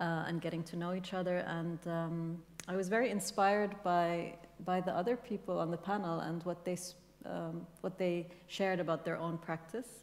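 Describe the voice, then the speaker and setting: A woman with an Arabic accent speaks at a moderate pace in a fairly low pitch, her intonation fairly even. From Kuwait. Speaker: writer and translator. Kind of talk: panel discussion. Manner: halting, many fillers.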